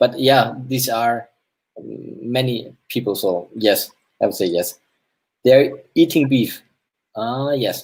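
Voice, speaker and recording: Using vocal fry, a man talks very slowly at a medium pitch with ordinary pitch variation and long, frequent pauses. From Germany. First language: German. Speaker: AR game developer. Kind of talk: game hosting on live stream. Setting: live stream. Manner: halting.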